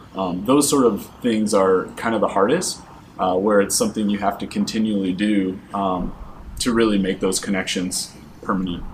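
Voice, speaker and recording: A man with an American accent speaks at a moderate pace and a fairly low pitch. His intonation is fairly even, and there is noticeable background noise. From Michigan. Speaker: art graduate student. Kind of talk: interview.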